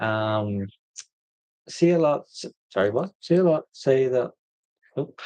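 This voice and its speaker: In a dry, close recording with no echo, a man with a dark, mellow tone and medium pitch talks at a fairly slow pace with lively intonation and long, frequent pauses. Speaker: vanlife vlogger. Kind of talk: livestream Q&A chat. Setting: live stream.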